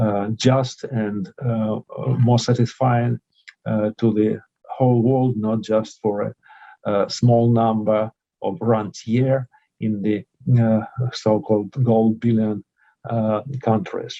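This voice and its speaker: A man with a Russian accent talks at a very slow pace, leaving long, frequent pauses. His tone is dark and mellow, his intonation monotone and flat. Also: medium pitch for a man. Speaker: professor, conference speaker. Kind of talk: conference speech. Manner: halting, many filler sounds.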